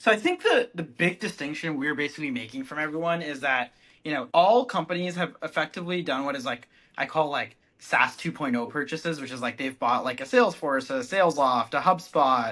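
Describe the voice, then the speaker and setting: A man with an American accent, fairly high pitch, a bright, sharp tone and a fairly quick pace over a quiet background. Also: ordinary pitch variation. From California, Bay Area. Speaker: startup founder and CEO. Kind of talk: casual interview.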